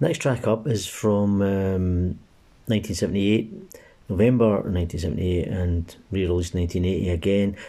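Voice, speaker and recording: A man with a Glaswegian accent, fairly low in pitch, with a dark, mellow tone, ordinary pitch variation and a fairly quick pace. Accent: Glaswegian Scottish. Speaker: amateur music podcast host. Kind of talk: casual music show links. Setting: recording at home during lockdown.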